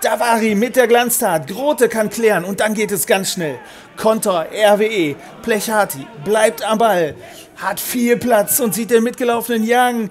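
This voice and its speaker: Over noticeable background noise, a man with a high pitch and an upbeat tone speaks at a fairly slow pace with ordinary pitch variation. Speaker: match commentator. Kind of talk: sports commentary. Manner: brisk, upbeat play-by-play; partisan, speaks of 'our boys'.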